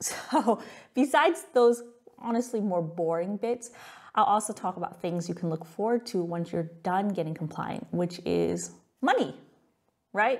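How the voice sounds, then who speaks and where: With an American accent and vocal fry, the speaker talks at a moderate pace with lively intonation. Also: woman. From California, US. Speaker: tax software company founder. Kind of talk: webinar presentation. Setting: live webinar. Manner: casual, conversational.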